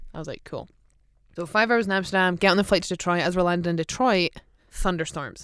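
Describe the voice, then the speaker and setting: Someone with an Aberdeen accent talks at a very fast pace on a very clean recording with a silent background. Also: woman, fairly low pitch for a woman, ordinary pitch variation. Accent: Aberdeen Scottish. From Scotland, Aberdeen. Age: 30s. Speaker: professional footballer. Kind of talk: casual chat. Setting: studio.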